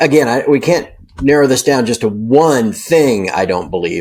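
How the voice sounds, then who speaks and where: A man speaks in a plain, everyday voice at a medium pitch. His intonation is lively, and his pace is moderate. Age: 50s. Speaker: precious metals newsletter publisher. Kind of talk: interview. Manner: casual, filler-heavy.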